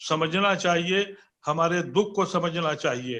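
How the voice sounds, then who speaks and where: With ordinary pitch variation, a man speaks in a high-pitched voice. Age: 70s. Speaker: political commentator. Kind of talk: panel debate.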